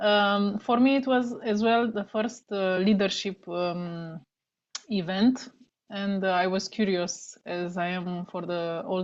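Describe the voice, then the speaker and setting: A woman speaks at a fairly slow pace with a non-native accent. Her pitch is medium and her intonation fairly even. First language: not English. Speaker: network marketing team member. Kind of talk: casual talk on a team video call. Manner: halting.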